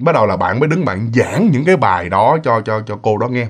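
A man's voice has very wide pitch swings. The background is quiet. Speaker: ghost story narrator. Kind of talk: storytelling. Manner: casual, filler-heavy. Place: home room.

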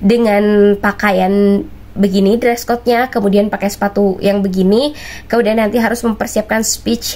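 A woman talks at a moderate pace. Her intonation is fairly even and her loudness very even. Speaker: vlogger sharing religious travel advice. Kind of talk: casual vlog chat. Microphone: lapel.

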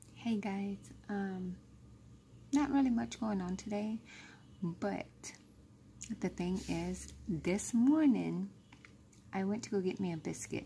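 A woman's very slow speech with long, frequent pauses over light background noise. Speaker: vlogger. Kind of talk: casual vlog chat. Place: office. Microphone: phone near.

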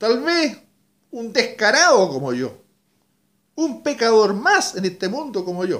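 Speaking very slowly with long, frequent pauses, a man uses an extremely high pitch that swings very widely. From Chile. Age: 60s. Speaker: radio announcer. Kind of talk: personal video message. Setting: at home. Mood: emotional, grateful, reflective. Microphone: webcam.

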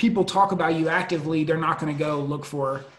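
A man speaking at a very fast pace, with audible room echo. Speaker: summit host. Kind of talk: interview questions, online summit. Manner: casual, filler-heavy. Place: office. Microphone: earbuds.

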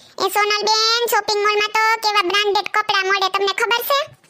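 A woman speaks in a squeaky, cartoonish character voice pitched extremely high. Her intonation stays monotone and flat, and her loudness barely shifts at all. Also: moderate pace. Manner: boastful, condescending.

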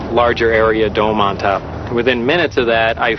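Over noticeable background noise, a man speaks very fast. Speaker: interviewee. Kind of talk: interview answer. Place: street.

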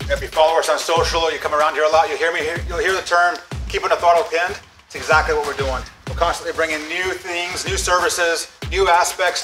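A man talking at a very fast pace over clear background music. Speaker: business host giving a tour. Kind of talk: tour commentary. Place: workshop.

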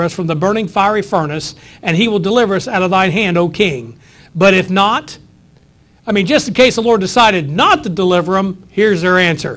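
Speech moves at a fairly quick pace. Its pitch shows ordinary variation. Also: man. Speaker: pastor. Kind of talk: sermon. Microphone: lapel.

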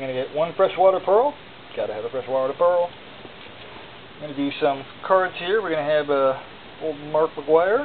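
Long, frequent pauses interrupt speech at a moderate pace. Light background noise runs underneath. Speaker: auction seller. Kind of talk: auction pitch showing items one by one. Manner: casual, conversational; rambling, with filler words and self-corrections. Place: home room. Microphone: phone near.

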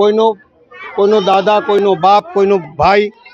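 A man speaks in a high voice. Crowd noise fills the background. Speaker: local politician. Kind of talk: public speech.

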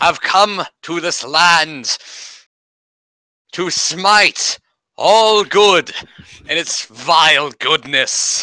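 Putting on a character voice, a man speaks at a very slow pace and a high pitch, with ordinary pitch variation and long, frequent pauses. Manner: over-the-top, theatrical, menacing.

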